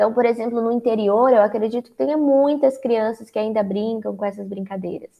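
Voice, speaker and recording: With hardly any pauses, a woman in an ordinary speaking voice talks at a fairly quick pace, her fairly high pitch showing ordinary pitch variation. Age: 20s. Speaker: psychologist and author. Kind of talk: interview.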